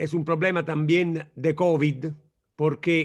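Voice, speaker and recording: A man speaks with an Italian accent at a very slow pace. His intonation is monotone and flat. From Italy. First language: Italian (speaking Spanish). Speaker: law professor. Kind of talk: lecture. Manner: slow, searching for words.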